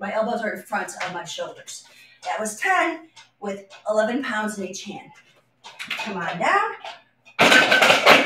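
Loud background noise and audible room echo surround a woman with a fairly high pitch. She speaks at a very slow pace with lively intonation and big swings in loudness. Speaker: fitness instructor. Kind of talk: live guided workout, instructing and counting reps. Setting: live video stream from home, exercising on vibration platform. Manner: upbeat, encouraging, clear coaching cues; conversational, with filler pauses. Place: empty room. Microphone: camera far.

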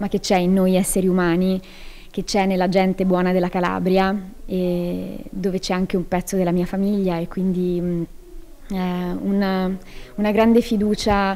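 The delivery is monotone and flat, at a moderate pace with long, frequent pauses and a dark, mellow tone. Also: woman. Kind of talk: interview answer. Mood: grateful, warm. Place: hall. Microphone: handheld.

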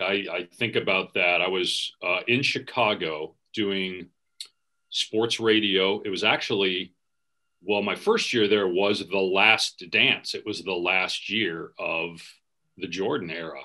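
Against a quiet background, a man in an American accent speaks at a fairly low pitch and a fairly slow pace, his tone bright and sharp and his intonation fairly even. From US Midwest (Wisconsin). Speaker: sports play-by-play announcer; podcast guest, sports announcer. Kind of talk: casual interview chat. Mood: warm, nostalgic, storytelling. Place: home room. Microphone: video call.

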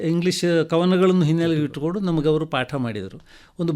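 A man pitched high, his voice showing ordinary pitch variation. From Kasaragod, Kerala-Karnataka border. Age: 70s. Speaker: retired professor and writer. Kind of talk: radio interview.

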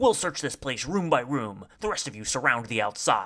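A put-on character voice with a bright, sharp tone, big pitch swings and a moderate pace. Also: man.

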